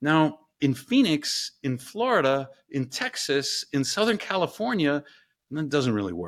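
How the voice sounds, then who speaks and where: A man speaks fairly slowly in a plain, everyday voice with lively intonation, captured in a very clean recording against a silent background. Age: 50s. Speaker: engineering professor and ice bath company co-founder. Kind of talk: interview conversation.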